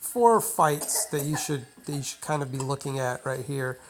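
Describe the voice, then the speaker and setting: Against noticeable background noise, a woman with a very deep, low pitch speaks at a fairly slow pace. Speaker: gaming video creator. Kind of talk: tutorial. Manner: casual, many filler words.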